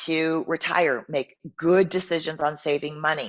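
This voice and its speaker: Using fairly even intonation at a moderate pace, a woman speaks in a fairly low pitch with an unremarkable speaking voice. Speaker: fitness coach. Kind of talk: live stream talk. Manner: casual, many filler ums.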